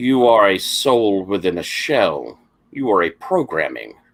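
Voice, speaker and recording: Putting on a character voice, a man speaks at a fairly slow pace in a fairly low pitch. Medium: actual play. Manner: cold, collective "we".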